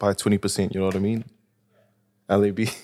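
A man with a fairly low voice goes at a fairly quick speed. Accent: New Zealand. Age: 20s. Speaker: rapper. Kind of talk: casual chat.

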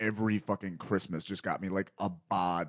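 A man talks at a fairly quick pace in an ordinary speaking voice. His pitch sits fairly low, and the sound is dry and close with no echo. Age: 30s. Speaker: podcast host and comedian. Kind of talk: casual chat.

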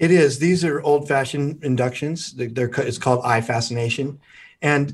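A man's fairly high-pitched, normal speaking voice with ordinary pitch variation against a quiet background. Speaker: hypnotherapist. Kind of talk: guided hypnosis induction.

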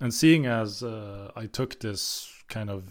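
A man speaks at medium pitch and a fairly slow pace, with ordinary pitch variation, in an ordinary speaking voice. The recording is very clean, with a silent background. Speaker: film podcast co-host. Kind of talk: casual chat.

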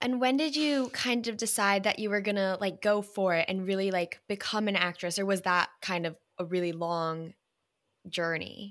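In a very clean recording with a silent background, a woman uses a normal speaking voice at a medium pitch, a moderate pace and ordinary pitch variation. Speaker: podcast host. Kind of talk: casual interview.

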